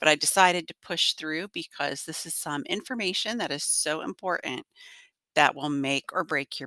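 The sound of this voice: Speaking at a moderate pace, a woman has a low, gruff, nasal voice with a bright, sharp tone, ordinary pitch variation and a dry, close sound with no echo.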